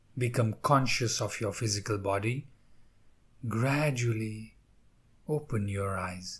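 This man's voice is somewhat breathy, at a medium pitch with fairly even intonation. He talks at a very slow pace. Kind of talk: guided meditation. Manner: slow, soft, calm and soothing with long pauses.

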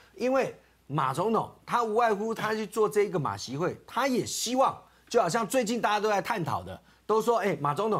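This man talks at a fairly quick pace, his pitch high for a man. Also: quiet background. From Taiwan. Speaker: political commentator. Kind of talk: talk show debate. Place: studio.

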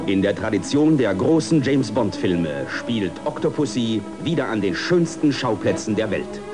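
A man's medium-pitched voice at a moderate pace, with very wide pitch swings and music in the background. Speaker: voice actor. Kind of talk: movie trailer.

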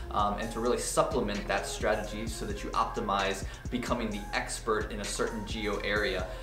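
Clear music sounds in the background. Over it, a man speaks at a moderate pace. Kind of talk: tutorial. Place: office.

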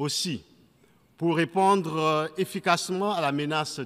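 With ordinary pitch variation, a man talks at a very slow pace. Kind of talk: formal speech. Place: hall. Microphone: podium.

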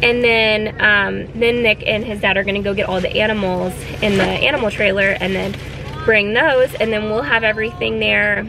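A woman talks at a moderate pace with fairly even intonation, the sound dry with no echo but with noticeable background noise. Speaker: family vlogger. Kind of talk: casual vlog chat. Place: car. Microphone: phone near.

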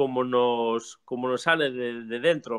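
A man is speaking. The background is quiet. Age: 40s. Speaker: music teacher and theater company director; music teacher. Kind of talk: casual chat.

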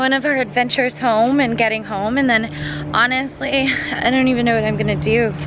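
A woman's high-pitched voice, dry with no echo, over noticeable background noise. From Canada. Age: 20s. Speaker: vlogger. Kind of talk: vlog talk to camera. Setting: indoors at a condo. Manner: casual, chatty. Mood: relaxed, soft.

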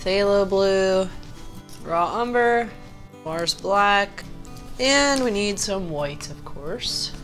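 Over music in the background, a woman with an American accent speaks at a very slow pace, her medium-pitched voice carrying lively intonation. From Pittsburgh, Pennsylvania, USA. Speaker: painter, art tutorial host. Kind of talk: painting tutorial talk to camera. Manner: casual, friendly.

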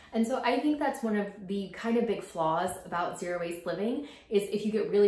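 A woman talks at a fairly quick pace in a fairly low pitch, her tone slightly mellow and her pitch swinging widely. Room echo is audible.

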